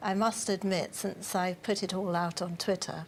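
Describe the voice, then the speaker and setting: Speaking at a moderate pace, a woman with a medium pitch keeps a monotone, flat intonation. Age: 60s. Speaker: adult literacy group organiser. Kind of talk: TV news interview.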